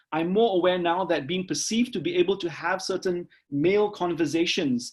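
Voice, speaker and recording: Loud and fairly quick, a man speaks at a high pitch with lively intonation. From Singapore. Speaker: professor. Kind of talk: lecture.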